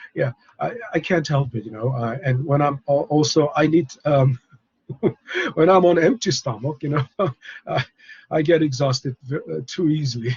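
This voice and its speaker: Somewhat breathy, the voice goes at a fairly slow pace with ordinary pitch variation. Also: man. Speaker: professor. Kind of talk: lecture. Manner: halting; soft-spoken.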